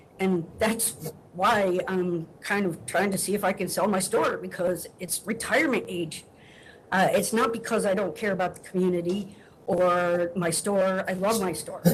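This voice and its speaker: A woman with fairly even intonation talks at a moderate pace, her medium-pitched voice somewhat breathy. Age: 60s. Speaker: liquor store owner. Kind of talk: testimony at hearing.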